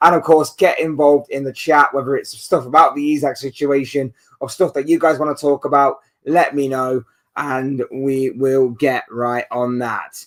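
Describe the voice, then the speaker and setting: A man with a British accent, fairly high pitch, fairly even intonation and a moderate pace. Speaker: football YouTuber. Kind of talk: live stream chat. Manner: casual, conversational.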